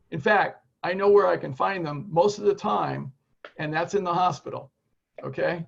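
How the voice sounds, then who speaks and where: A man speaks at a moderate pace in a voice that sits high for a man. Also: ordinary pitch variation. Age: 60s. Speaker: lifestyle medicine educator. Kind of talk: live Q&A on a video call. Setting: video call. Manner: animated.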